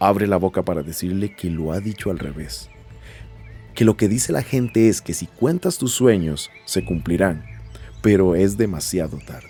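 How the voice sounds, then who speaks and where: A man's very deep, low voice at a moderate pace, with lively intonation and music in the background. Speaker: podcast host and narrator. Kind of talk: audio narration of a short story.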